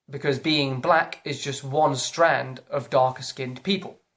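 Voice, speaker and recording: A fairly slow delivery in a British accent. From Britain. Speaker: YouTuber. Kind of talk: opinion vlog rant. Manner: animated.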